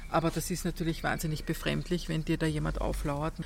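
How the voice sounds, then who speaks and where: This is a woman speaking. Her pitch is fairly low. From Austria, Vienna. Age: 50s. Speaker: journalist and author. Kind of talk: interview. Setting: outdoors in a courtyard.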